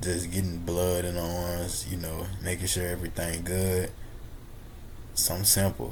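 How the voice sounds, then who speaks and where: Somewhat breathy and very deep, a man's voice holds a monotone, flat intonation in a room with audible echo. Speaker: fitness vlogger. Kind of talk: casual vlog voiceover with devotional talk. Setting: gym.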